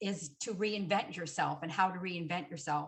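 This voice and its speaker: A somewhat breathy voice with ordinary pitch variation and a Canadian accent. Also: woman. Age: 60s. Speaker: hypnotherapist. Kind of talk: panel discussion. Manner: halting.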